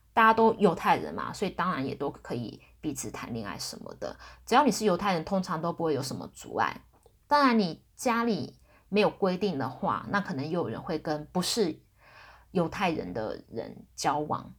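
On a very clean recording with a silent background, a woman with vocal fry speaks at a moderate pace, with very wide pitch swings and big swings in loudness. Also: fairly low pitch for a woman. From Taiwan. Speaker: podcast host. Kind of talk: casual solo talk. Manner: hesitant, many fillers.

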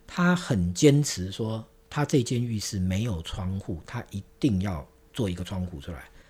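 Against a very clean, silent background, a man with a fairly low pitch speaks at a fairly slow pace, somewhat breathy, with lively intonation. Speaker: interior design director. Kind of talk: interview.

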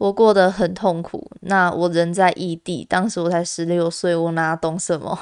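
Speaking in a Taiwanese accent, a woman uses a fairly low pitch and monotone, flat intonation at a fairly slow pace with hardly any pauses. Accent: Taiwanese Mandarin. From Taiwan, Kaohsiung. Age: 20s. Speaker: podcast host. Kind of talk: personal monologue.

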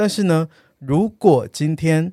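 A voice with a dark, mellow tone moves at a very slow pace in a dry, close sound with no echo. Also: man. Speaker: travel podcast co-host. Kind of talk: casual chat. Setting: studio.

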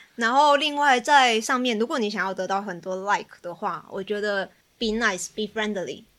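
With a Taiwanese accent, a woman speaks at a moderate pace and fairly high pitch in a very clean recording with a silent background. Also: ordinary pitch variation. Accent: Taiwanese Mandarin. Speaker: psychology student guest. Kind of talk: casual chat.

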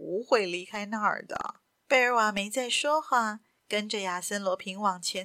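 The pitch shifts in an ordinary way through plain reading aloud over a quiet background.

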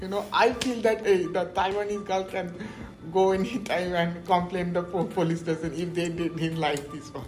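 A man speaks at a moderate pace with fairly even intonation and a high pitch. Noticeable background noise and audible room echo fill the recording. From India, Kolkata (West Bengal). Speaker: PhD student in biomedical science. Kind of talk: interview.

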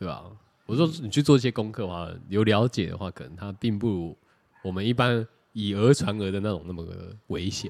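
A man at a fairly low pitch and fairly quick pace, with ordinary pitch variation, long, frequent pauses and big swings in loudness, on a very clean recording with a silent background. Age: 30s. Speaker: podcast co-host. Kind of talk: casual chat.

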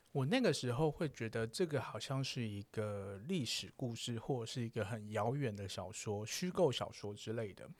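A man with a plain, everyday voice speaks at a moderate pace and a medium pitch, with lively intonation and hardly any pauses. The recording is very clean, with a silent background. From southern Taiwan. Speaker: podcaster on sex topics. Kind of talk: casual chat. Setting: recording studio.

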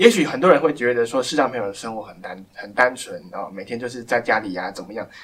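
Over noticeable background noise, a man with a medium-pitched voice talks at a very fast pace. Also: ordinary pitch variation. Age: 20s. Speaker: blind pianist. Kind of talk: interview. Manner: halting.

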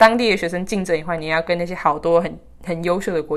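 A woman with a fairly low pitch speaks at a moderate pace, her intonation fairly even. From Taiwan, with childhood years in the US. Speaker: podcast co-host, interviewee. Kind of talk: casual interview chat.

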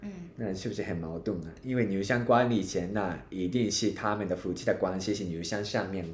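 A man with a Japanese accent talks at a fairly quick pace, with hardly any pauses and a fairly low, somewhat breathy voice. His pitch varies in an ordinary way, and the room echo is audible. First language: Japanese (speaking Chinese). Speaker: podcast co-host. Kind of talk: casual chat.

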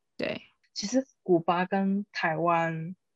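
The woman has an unremarkable speaking voice at a medium pitch with ordinary pitch variation, heard as a dry, close sound with no echo. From Taiwan. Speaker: guest. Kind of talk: casual chat.

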